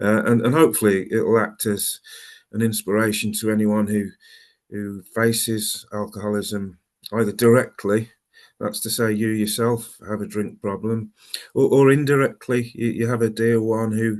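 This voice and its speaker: In a Birmingham accent, a man speaks at a medium pitch with monotone, flat intonation against a quiet background. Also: moderate pace. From Birmingham, England. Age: 50s. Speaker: recovering alcoholic speaker. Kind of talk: personal testimony talk. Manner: halting, many fillers and repeats.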